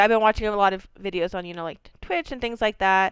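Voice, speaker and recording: Speaking fairly quickly in an animated tone, a woman with a slight Maine accent keeps a medium pitch and ordinary pitch variation. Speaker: video game streamer. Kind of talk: live gameplay commentary. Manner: fast.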